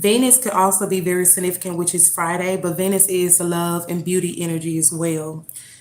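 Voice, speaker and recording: The woman speaks at a medium pitch. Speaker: tarot reader. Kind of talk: tarot reading. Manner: halting.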